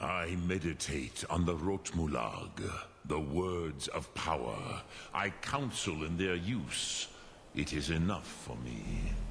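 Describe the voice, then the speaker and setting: Put-on character voice from a man, very deep and low in pitch, fairly slow pace, clear background noise. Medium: video game. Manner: slow, measured, solemn.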